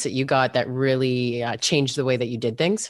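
Someone with a Canadian accent talks at a very fast pace. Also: woman. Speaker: podcast host, former radio personality. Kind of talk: casual interview chat.

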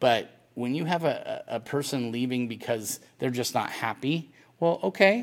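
A man with lively intonation at a moderate pace, in a very clean recording with a silent background. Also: medium pitch for a man. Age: 40s. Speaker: college football recruiting reporter. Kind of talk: casual chat. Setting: outdoors. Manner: halting.

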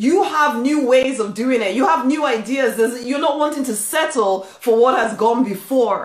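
A woman's high-pitched voice with lively intonation, an animated, warm tone, a moderate pace and hardly any pauses. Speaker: spiritual coach and author. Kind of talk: motivational pep talk. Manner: warm, emphatic and exhortative, driving each point home; animated, encouraging, with repeated affirming phrases.

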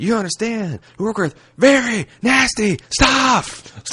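Using a put-on character voice, a man speaks in a raised, projected voice with a high pitch. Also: fairly slow pace. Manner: unhinged, ranting.

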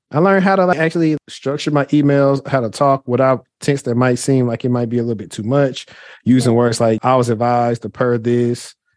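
A man with an American accent speaks at medium pitch with ordinary pitch variation and hardly any pauses, in a dry, close sound with no echo over a quiet background. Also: fairly quick pace. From Shreveport, Louisiana. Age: 30s. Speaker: cybersecurity professional and career coach. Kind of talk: casual interview chat.

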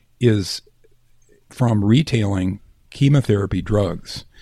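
Lively intonation runs through the speech. There is a somewhat breathy quality to it. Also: man. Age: 60s. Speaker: former physician and cosmetic surgeon. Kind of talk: interview. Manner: halting.

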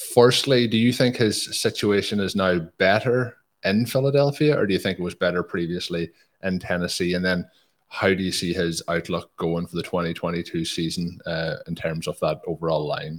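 On a very clean recording with a silent background, a man with an Irish accent speaks at a moderate pace in a very deep, low pitch. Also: ordinary pitch variation. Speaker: podcast host. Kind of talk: casual podcast interview.

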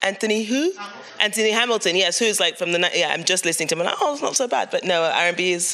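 Against noticeable background noise, a woman with a medium pitch talks at a very fast pace, with very even loudness and ordinary pitch variation. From Cameroon. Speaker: moderator and writer. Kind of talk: live book talk interview.

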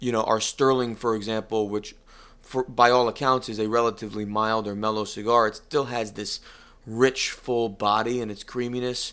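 With an American accent, a man has an unremarkable speaking voice at a medium pitch. His intonation is fairly even, on a very clean recording with a silent background. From US Northeast, northeast Connecticut. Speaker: cigar company executive and musician. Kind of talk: interview. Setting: office.

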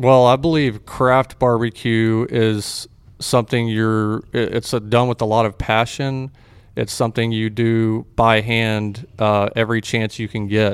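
A man with a Texan accent speaks at a fairly slow pace and medium pitch, his intonation monotone and flat. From Texas (Fort Worth, Waco). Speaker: barbecue restaurant owner. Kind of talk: casual interview.

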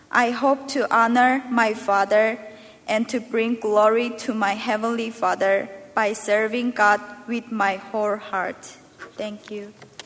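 Speaking in a Korean accent at a fairly slow pace, this voice keeps a monotone, flat intonation over noticeable background noise. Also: woman, fairly high pitch for a woman. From North Korea and China. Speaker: university student. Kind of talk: testimony.

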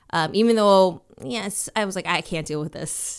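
A woman with an American accent speaks at a moderate pace with ordinary pitch variation, captured on a very clean recording with a silent background. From Minnesota. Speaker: actress and comedian. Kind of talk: casual interview. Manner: animated.

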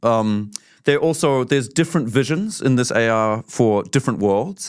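In a New Zealand accent, a man talks at a moderate pace and medium pitch with ordinary pitch variation, on a very clean recording with a silent background. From New Zealand, Auckland. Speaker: artist. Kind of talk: casual interview chat. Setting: studio.

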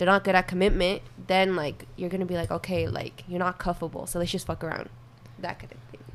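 A woman's fairly low voice with vocal fry and ordinary pitch variation, delivered at a very fast pace. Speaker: podcast guest.

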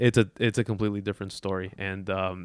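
A man with an American accent talks at a very fast pace with fairly even intonation, sounding dry and close with no echo on a very clean recording with a silent background. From Chicago. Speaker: sports graphics designer and podcaster. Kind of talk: casual chat. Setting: in Las Vegas.

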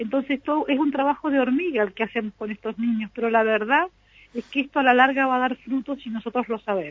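Very fast speech with ordinary pitch variation. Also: woman, high pitch for a woman. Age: 60s. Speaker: local culture director. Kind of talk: radio interview.

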